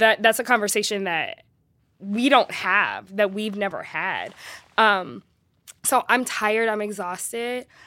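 Recorded very clean against a silent background, a woman with an American accent speaks fairly slowly at a fairly high pitch, her tone bright and sharp and her pitch variation ordinary. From US West Coast, Los Angeles. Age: 30s. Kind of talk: casual conversation.

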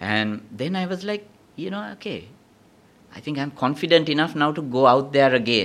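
The speaker is a man with an unremarkable speaking voice and a fairly high pitch. He keeps a moderate pace while his loudness swings widely. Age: 50s. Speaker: veteran DJ and educator. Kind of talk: casual interview.

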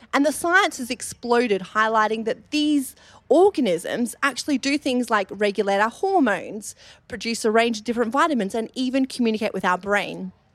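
Lively intonation marks this woman's speech in an Australian accent. Her pitch is fairly high and her pace moderate. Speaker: dietitian and gut health researcher. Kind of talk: live panel discussion. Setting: stage with audience.

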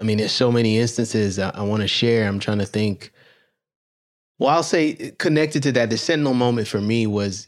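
On a very clean recording with a silent background, a man with an ordinary speaking voice talks at a fairly quick pace, medium in pitch with ordinary pitch variation. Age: 40s. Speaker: podcast host, doctor. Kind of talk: interview.

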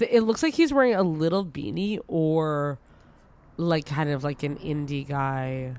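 This woman's voice sits at a very deep, low pitch, and she moves at a fairly slow pace. Her tone is animated and her intonation lively. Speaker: podcast guest. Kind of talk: casual chat. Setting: video call.

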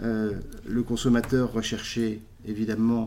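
Dark and mellow in tone, the man's voice holds a medium pitch. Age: 40s. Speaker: food company executive. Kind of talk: interview. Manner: halting, many repetitions.

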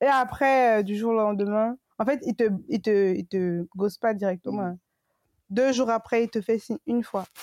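A woman speaks in an unremarkable speaking voice, fairly high in pitch, at a moderate pace. Her pitch varies in an ordinary way, and the sound is dry and close with no echo. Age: 20s. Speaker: podcast co-host. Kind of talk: casual chat.

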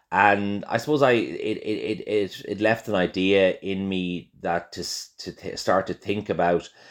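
In a Dublin accent, a man talks at a fairly slow pace. The background is quiet. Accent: Irish (Dublin). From Ireland, Dublin. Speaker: chef and restaurateur. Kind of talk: interview. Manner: halting, many fillers and repetitions.

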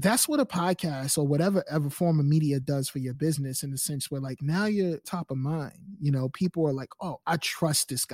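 Somewhat breathy and fairly high-pitched, a man speaks at a fairly quick pace with ordinary pitch variation. The very clean recording has a silent background and a dry, close sound with no echo. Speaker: podcast company founder and sound engineer. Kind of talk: casual interview.

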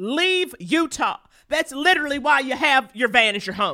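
High-pitched and raised, a woman's projected voice moves in very wide pitch swings. She talks at a fairly quick pace. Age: 40s. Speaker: comedian and podcast host. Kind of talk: casual chat.

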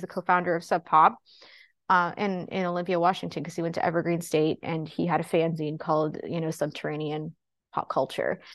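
Here a woman uses an unremarkable speaking voice of fairly low pitch, talking at a moderate pace in an American accent. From western Pennsylvania, near Pittsburgh. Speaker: comics publicist and author. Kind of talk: casual interview. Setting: remote call.

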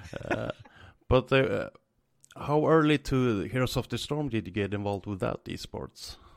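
On a very clean recording with a silent background, a man with a Swedish accent speaks at a medium pitch with ordinary pitch variation. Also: moderate pace. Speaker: podcast host. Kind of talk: casual chat.

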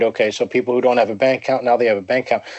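A medium-pitched man with an American accent. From US, Pennsylvania. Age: 40s. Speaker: writer on economics and finance. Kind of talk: interview conversation.

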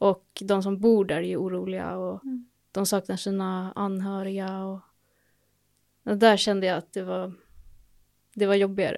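A medium-pitched woman's voice, monotone and flat, at a moderate pace with long, frequent pauses, on a very clean recording with a silent background. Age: 20s. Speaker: nursing student. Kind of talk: casual chat.

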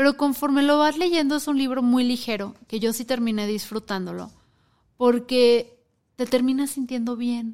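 A high-pitched woman's voice at a moderate pace, with fairly even intonation. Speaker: podcast co-host. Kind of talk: casual chat.

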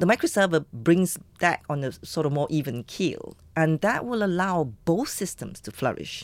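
In a very clean recording with a silent background, a woman with an ordinary speaking voice and a fairly low pitch talks at a moderate pace with lively intonation. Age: 50s. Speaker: economist and entrepreneur, professor. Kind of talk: interview. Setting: studio.

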